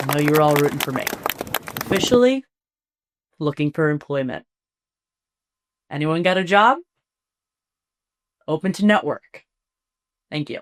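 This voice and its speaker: Lively intonation from a woman with a very deep, low voice, at a moderate pace with long, frequent pauses, in a dry, close sound with no echo. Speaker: sports podcast host, former athlete. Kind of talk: solo podcast talk.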